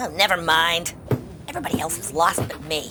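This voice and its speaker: Over clear background noise, a female-sounding voice in a put-on character voice speaks at a middle pitch and a fairly quick pace. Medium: audio drama. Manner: anxious, excitable.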